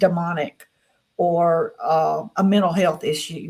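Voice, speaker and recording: Somewhat breathy, a woman's voice holds a medium pitch. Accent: Southern US. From US South. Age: 60s. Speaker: experiencer guest. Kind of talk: interview.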